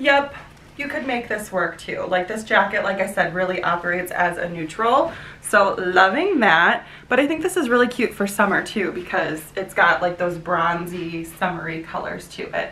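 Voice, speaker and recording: Over light background noise and audible room echo, a woman with an American accent talks at a medium pitch and moderate pace. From US Midwest. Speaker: fashion YouTuber. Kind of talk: try-on haul vlog. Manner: animated. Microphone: camera far.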